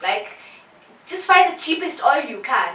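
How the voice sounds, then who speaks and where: A woman speaks in a raised, projected voice. Audible room echo and noticeable background noise accompany her. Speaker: beauty vlogger. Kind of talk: tutorial. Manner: fast; animated.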